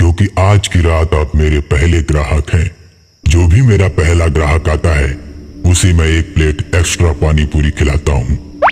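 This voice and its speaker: Moving at a moderate pace, a man puts on a cartoonish character voice that is menacing in tone and very deep, low in pitch. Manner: menacing, mocking.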